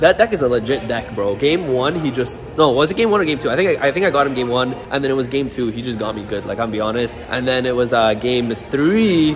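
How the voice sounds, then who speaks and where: Speaking at a very fast pace with hardly any pauses, a man uses an animated tone, lively intonation and a medium pitch. There is noticeable background noise. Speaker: YouTube gamer. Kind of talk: casual vlog. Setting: card shop locals event. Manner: animated, excitable.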